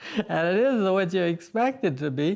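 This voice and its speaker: This voice moves through very wide pitch swings with an American accent. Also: man. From Montana. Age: 80s+. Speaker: pencil artist, former rancher. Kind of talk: interview answer.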